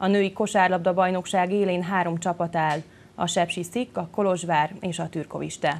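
The woman's pitch sits fairly low. She speaks at a moderate pace with monotone, flat intonation. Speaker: sports news presenter. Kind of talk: news reading. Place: studio.

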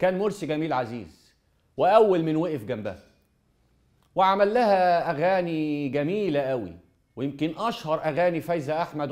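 A man at a moderate pace, fairly high-pitched, with lively intonation against a quiet background. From Egypt. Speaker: TV presenter. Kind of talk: storytelling monologue. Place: studio. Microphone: lapel.

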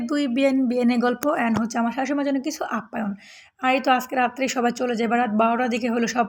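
A woman speaks at a high pitch. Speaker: vlogger. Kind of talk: casual vlog narration.

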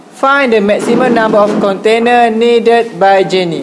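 Noticeable background noise accompanies speech at a very slow pace. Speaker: maths teacher. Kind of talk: tutorial.

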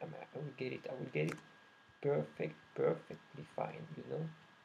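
A man with a French accent speaks at a moderate pace. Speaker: indie game developer. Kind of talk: gameplay demo commentary. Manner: halting, many fillers and repetitions.

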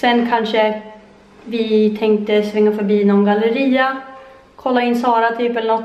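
A woman talks, and audible room echo follows her words. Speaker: vlogger. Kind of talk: casual vlog chat. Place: home room. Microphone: phone near.

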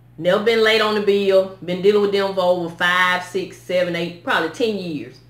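A woman speaks with ordinary pitch variation. Audible room echo surrounds her voice. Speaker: vlogger. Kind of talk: casual vlog chat. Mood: upset, animated storytelling. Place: home room. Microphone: phone near.

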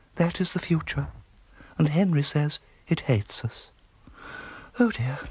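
Putting on a character voice, a man speaks fairly slowly at a fairly high pitch, with lively intonation, a slightly mellow tone and a husky, rough edge.

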